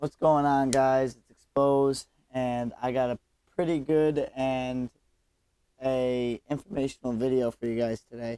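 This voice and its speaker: Recorded dry and close with no echo, a man with a dark, mellow tone and medium pitch speaks fairly slowly in monotone, flat intonation with big swings in loudness. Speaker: gaming youtuber. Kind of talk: gameplay commentary. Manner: casual.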